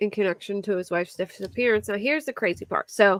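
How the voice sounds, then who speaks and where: With a Philadelphia accent, a woman talks at a fairly high pitch with ordinary pitch variation, the sound dry and close with no echo. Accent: Philly accent, moderate. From US Northeast, Philadelphia area. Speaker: true crime YouTuber. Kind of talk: casual livestream chat about crime cases.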